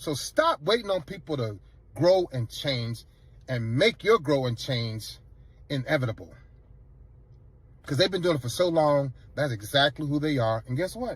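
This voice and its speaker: Somewhat breathy and fairly high-pitched, a man speaks at a moderate pace with very wide pitch swings and long, frequent pauses. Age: 50s. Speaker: Navy veteran. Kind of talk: interview.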